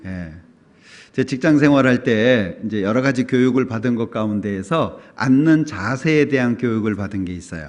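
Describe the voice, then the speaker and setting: A man speaks at medium pitch and a fairly slow pace. His intonation is lively, with long, frequent pauses. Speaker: pastor. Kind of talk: sermon.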